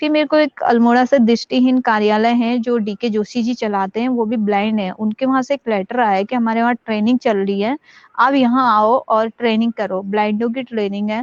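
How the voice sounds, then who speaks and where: A woman with a plain, everyday voice speaks fairly high at a moderate pace, with fairly even intonation and hardly any pauses, in a dry, close sound with no echo. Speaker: acid attack survivor and social activist. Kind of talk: interview testimony.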